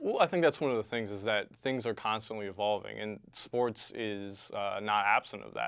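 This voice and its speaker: A man with a normal speaking voice and fairly low pitch talks at a moderate pace with ordinary pitch variation and hardly any pauses, in a very clean recording with a silent background. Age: young. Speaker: sports channel host. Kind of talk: casual chat.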